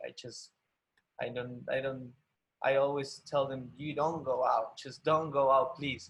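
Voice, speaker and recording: With an Argentine accent, the somewhat breathy voice moves at a fairly slow pace in a flat monotone. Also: man. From Argentina. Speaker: ballet dancer. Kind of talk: interview. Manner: halting.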